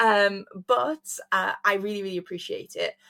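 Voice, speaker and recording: A woman speaks with an English accent. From England. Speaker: podcast host. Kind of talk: casual chat.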